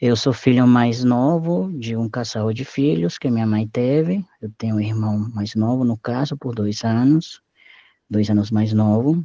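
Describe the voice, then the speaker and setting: This man has a Spanish accent and a medium pitch with ordinary pitch variation. He talks at a fairly slow pace against a quiet background. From Mexico, Acapulco. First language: Spanish (speaking Portuguese). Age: 30s. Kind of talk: oral history interview. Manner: halting, with self-corrections.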